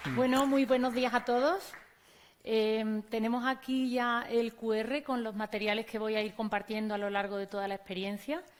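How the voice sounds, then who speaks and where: A woman's fairly high voice in an Andalusian accent, at a moderate pace with fairly even intonation. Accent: Andalusian (Córdoba), noticeable. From Spain, Córdoba (Andalusia). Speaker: teacher and conference speaker. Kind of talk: conference talk.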